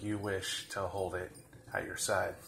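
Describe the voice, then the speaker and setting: Speaking at a fairly slow pace, a man with a fairly low pitch talks in a monotone, flat intonation amid audible room echo. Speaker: fitness vlogger. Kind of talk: tutorial. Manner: slow, deliberate.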